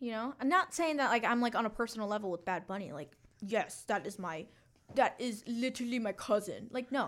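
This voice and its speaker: A woman's fairly high voice, a normal speaking voice, with lively intonation at a fairly quick pace on a very clean recording with a silent background. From Mexican-American, US. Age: 20s. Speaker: podcast co-host. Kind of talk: casual chat.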